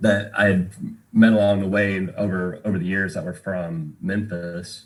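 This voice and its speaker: Speaking with a slight Southern US accent, a man talks in a very deep, low pitch. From Tennessee, Knoxville area. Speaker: bartender and musician. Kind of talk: podcast interview. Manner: casual, many fillers.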